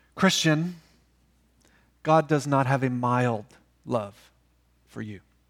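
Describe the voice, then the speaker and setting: Over a very clean recording with a silent background, a man speaks very slowly at medium pitch with ordinary pitch variation, long, frequent pauses and big swings in loudness. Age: 40s. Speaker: pastor. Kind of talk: sermon. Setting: church. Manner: seated while preaching.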